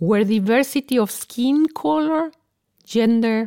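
Speaking slowly-ish with a Spanish accent, a woman has a fairly high pitch and a dark, mellow tone. The sound is dry and close, without echo. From Mexico. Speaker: corporate executive and podcast host. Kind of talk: corporate podcast interview.

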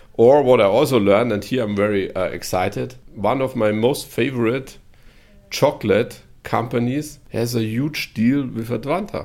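Recorded very cleanly against a silent background, a man with a German accent talks at a medium pitch. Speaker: corporate podcast host. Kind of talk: interview.

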